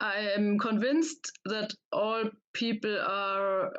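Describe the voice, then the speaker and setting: With a German accent, a woman speaks at medium pitch with fairly even intonation. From Germany. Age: young. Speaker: audience member. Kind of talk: audience question. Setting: video call. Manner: halting, hesitant.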